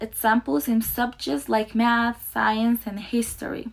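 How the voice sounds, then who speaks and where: A woman with a non-native accent speaks at a fairly high pitch and a fairly slow pace. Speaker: student teacher. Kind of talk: presentation. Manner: halting.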